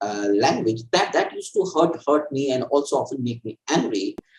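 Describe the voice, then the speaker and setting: A man talks with a Bengali accent. His pace is moderate. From India, Assam (East Bengali family). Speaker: author and political theorist. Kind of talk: interview. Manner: halting, many fillers and repetitions.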